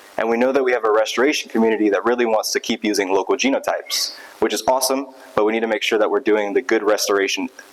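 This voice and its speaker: A man speaks very fast, with noticeable background noise behind him. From south Louisiana. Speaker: graduate student researcher in biology. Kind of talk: conference talk. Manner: casual, upbeat.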